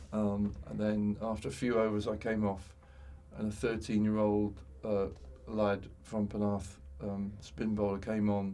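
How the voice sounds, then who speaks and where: Audible room echo surrounds a man who speaks fairly slowly at a fairly low pitch, leaving long, frequent pauses. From West Midlands, England (Tipton, Wolverhampton). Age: 60s. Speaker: former cricketer. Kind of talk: interview conversation. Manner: halting, many fillers and repeats.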